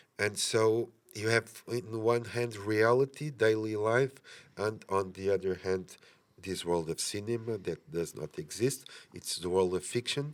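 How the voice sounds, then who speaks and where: A man with a Portuguese accent, fairly low in pitch with ordinary pitch variation, at a fairly slow pace in a very clean recording with a silent background. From Portugal. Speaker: film director. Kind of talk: interview. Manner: halting, many fillers.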